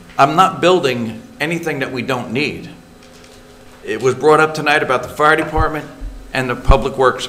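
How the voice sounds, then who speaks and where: With noticeable background noise behind him, a man speaks in a fairly high voice with ordinary pitch variation and long, frequent pauses. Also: moderate pace. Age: 70s. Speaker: council member. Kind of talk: public meeting statement. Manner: animated.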